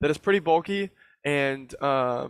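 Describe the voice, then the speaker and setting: The recording is very clean with a silent background and has a dry, close sound with no echo. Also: man. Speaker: trading group presenter. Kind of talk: group call chart review. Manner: fast.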